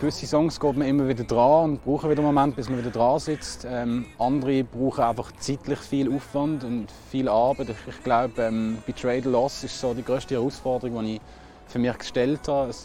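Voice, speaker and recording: A man's medium-pitched voice, flat and monotone, at a moderate pace over noticeable background noise. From Switzerland, Basel. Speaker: singer-songwriter. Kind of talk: interview. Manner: hesitant, many fillers and repetitions.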